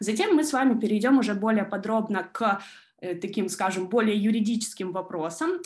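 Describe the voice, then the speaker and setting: Against a quiet background, a woman talks at a moderate speed. Her pitch varies in an ordinary way. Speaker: law student and junior lawyer. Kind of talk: online presentation. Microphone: video call.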